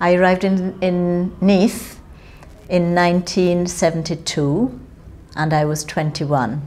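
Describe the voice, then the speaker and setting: Speaking at a fairly slow pace in a Jamaican accent, a woman uses a fairly low pitch with ordinary pitch variation. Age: 60s. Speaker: interviewee, Windrush-generation migrant. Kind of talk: oral history interview.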